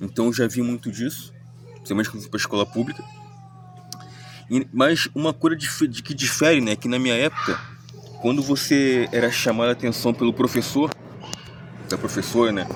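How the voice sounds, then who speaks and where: There is noticeable background noise as a man speaks at medium pitch and a fairly quick pace. His intonation is fairly even, broken by long, frequent pauses. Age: 30s. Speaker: commentary vlogger. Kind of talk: spoken reflection monologue. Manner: halting, many self-corrections.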